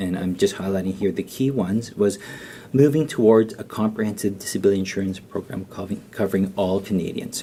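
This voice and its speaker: Soft-spoken, a man talks at a fairly low pitch and a fairly quick pace with fairly even intonation. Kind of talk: conference presentation. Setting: round table event with audience. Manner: halting, many fillers and repeats.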